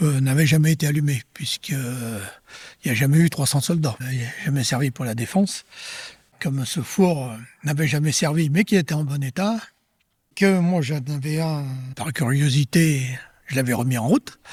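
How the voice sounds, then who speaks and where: This man's fairly high voice is somewhat breathy, broken by long and frequent pauses. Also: ordinary pitch variation, moderate pace. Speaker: retired farmer. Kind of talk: interview testimony.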